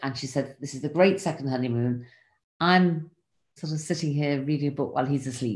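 The speaker has an English accent and a moderate pace. Intonation stays fairly even. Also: woman. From England. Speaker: podcast host sharing her diary. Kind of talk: reading aloud from a diary.

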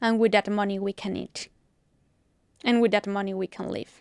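A woman with a Spanish accent speaks at a medium pitch with fairly even intonation, her sound dry and close with no echo on a very clean recording with a silent background. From Mexico, Mexico City. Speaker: politician and activist. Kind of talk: interview. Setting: studio.

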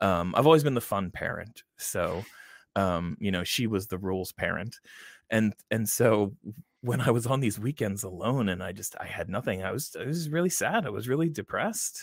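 A man with a normal speaking voice at medium pitch talks at a moderate pace with lively intonation, on a very clean recording with a silent background. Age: 40s. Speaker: gaming podcaster and father. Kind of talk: casual chat.

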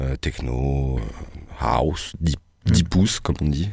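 This man's voice has a dark, mellow tone with vocal fry. His intonation is lively. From France, Poitou (Vienne). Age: 30s. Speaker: radio sound engineer. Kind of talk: casual chat. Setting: radio studio.

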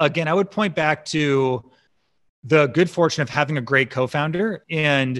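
A man with an American accent and a plain, everyday voice, fairly high in pitch, with ordinary pitch variation, against a quiet background. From Chicago suburbs, US Midwest. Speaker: startup founder and CEO. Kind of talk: interview.

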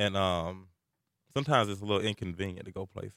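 The man's pace is very fast. He talks in a Southern US accent. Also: very clean recording, silent background. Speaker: college radio host. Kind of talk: casual chat. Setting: studio.

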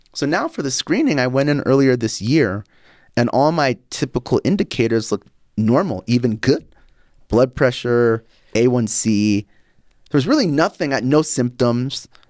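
A man with an ordinary speaking voice talks at a moderate pace, at a medium pitch with ordinary pitch variation. The recording is very clean with a silent background and a dry, close sound with no echo. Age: 40s. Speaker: podcast host and health company CEO. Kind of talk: casual interview.

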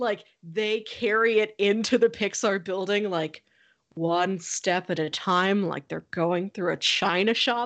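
An unremarkable speaking voice moves at a fairly slow pace over a quiet background. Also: woman, medium pitch for a woman, fairly even intonation. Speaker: podcast co-host. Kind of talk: casual chat.

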